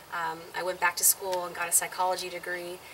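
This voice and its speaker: The speaker has an American accent and a flat, monotone intonation. The pace is fairly quick, with noticeable background noise. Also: woman. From Southern California. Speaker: singer and ministry show co-host. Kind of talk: interview.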